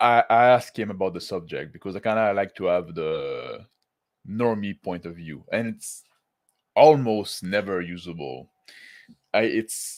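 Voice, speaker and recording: A man speaks with a French accent and a fairly low pitch. The recording is very clean, with a silent background. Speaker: tabletop roleplaying YouTuber. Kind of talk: casual livestream talk to chat. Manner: halting, many fillers and restarts.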